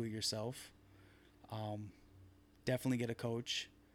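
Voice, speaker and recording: A man's medium-pitched voice with an American accent and monotone, flat intonation. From Southern California (Long Beach). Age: 20s. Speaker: physique competitor. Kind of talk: casual interview.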